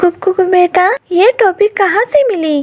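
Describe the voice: A woman puts on a cartoonish character voice at an extremely high pitch, speaking at a fairly slow pace.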